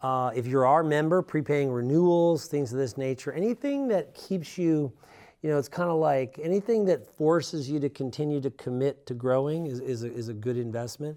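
In a plain, everyday voice, a man talks at a moderate pace and a fairly high pitch with ordinary pitch variation over a quiet background. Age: 50s. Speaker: business coach. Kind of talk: solo monologue. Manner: casual.

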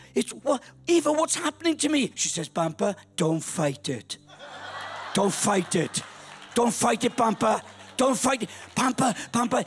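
A man with a Welsh accent speaks at a moderate pace and high pitch with very wide pitch swings amid noticeable background noise. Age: 60s. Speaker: pastor. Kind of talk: sermon. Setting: church. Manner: animated.

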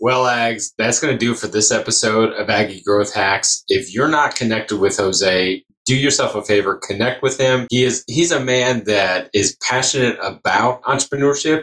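A man with a normal speaking voice talks at a moderate pace, with hardly any pauses. His medium pitch shows ordinary variation. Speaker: podcast host. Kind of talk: podcast interview. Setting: on-location recording in a venue green room.

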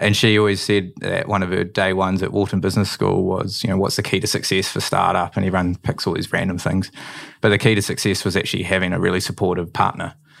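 Over noticeable background noise, a man with a New Zealand accent speaks at a very fast pace in a very deep, low pitch with monotone, flat intonation. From New Zealand, Manawatu. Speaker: drinks company co-founder. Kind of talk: interview.

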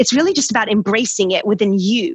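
A somewhat breathy woman speaks at a fairly high pitch with lively intonation. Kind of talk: casual chat. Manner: animated.

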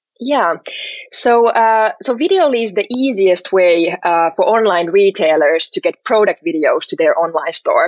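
Speaking fairly slowly with a Finnish accent, a woman with a fairly high pitch makes very wide pitch swings. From Finland, Helsinki. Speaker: startup CEO and co-founder. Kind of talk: podcast interview.

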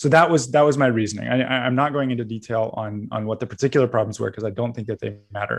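With a Canadian accent, a man talks at a very fast pace with hardly any pauses, his medium pitch showing ordinary variation. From Canada, British Columbia. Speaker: magazine editor. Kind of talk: interview.

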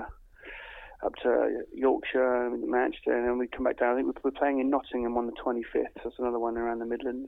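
Background noise is noticeable here. Through it, a man can be heard. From south coast of England. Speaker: musician. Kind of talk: phone interview. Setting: phone call.

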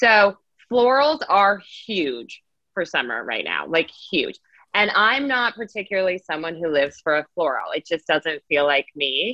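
Speaking with an American accent at a fairly slow pace, a woman uses a medium pitch with very wide pitch swings and vocal fry. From Las Vegas, Nevada. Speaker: personal shopper. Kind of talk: casual chat.

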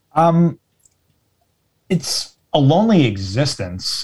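The man's voice is somewhat breathy. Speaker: guest, Twitch community member. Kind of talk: casual chat.

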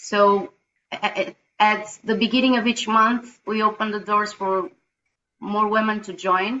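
A fairly high-pitched woman's voice at a fairly slow pace, with fairly even intonation. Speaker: women's team facilitator. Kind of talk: sharing in online group discussion. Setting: video call. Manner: talkative.

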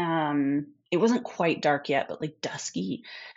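Speaking fairly slowly, a woman talks in an American accent. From US Midwest. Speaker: podcast guest telling a haunting story. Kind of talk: storytelling in a casual interview.

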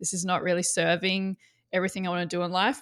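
With an Australian accent, a woman speaks at medium pitch and a fairly quick pace on a very clean recording with a silent background. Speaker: marketing coach. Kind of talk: casual interview chat.

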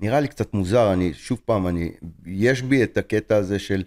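A man speaks at a fairly low pitch with ordinary pitch variation and a dark, mellow tone. The sound is dry and close, with no echo. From Israel. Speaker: film director and teacher. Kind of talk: interview.

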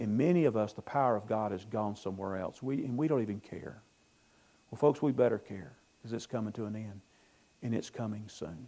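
In a Southern US accent, a man speaks at a fairly quick pace with a fairly low pitch and a dark, mellow tone, his pitch varying in an ordinary way. The recording is very clean, with a silent background. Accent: US South. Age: 60s. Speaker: pastor. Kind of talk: sermon.

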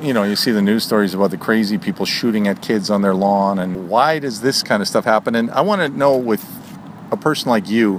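A normal speaking voice from a man, fairly low in pitch, with ordinary pitch variation and a fairly quick pace. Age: 40s. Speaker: podcast host. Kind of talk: casual chat.

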